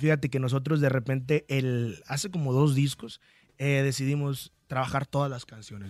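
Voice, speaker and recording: On a very clean recording with a silent background, a man talks at a fairly quick pace in a fairly high pitch. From Michoacán, Mexico. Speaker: singer. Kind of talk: radio interview. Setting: radio studio.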